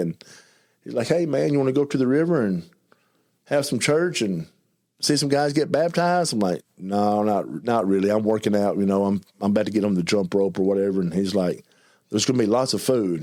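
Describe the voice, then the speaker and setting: Heard in a very clean recording with a silent background, a man with an Arkansas accent talks at a fairly quick pace, his dark, mellow tone set at a medium pitch with lively intonation. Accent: Southern US (Arkansas). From US South, eastern Arkansas. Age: 50s. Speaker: recovered addict sharing testimony. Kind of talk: testimony. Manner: fast; mumbling.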